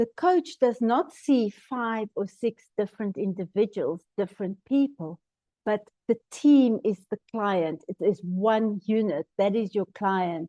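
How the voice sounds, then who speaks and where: A woman with a South African accent, fairly high pitch, dark, mellow tone, lively intonation and very slow pace, in a dry, close sound with no echo. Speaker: team coaching trainer. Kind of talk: webinar presentation.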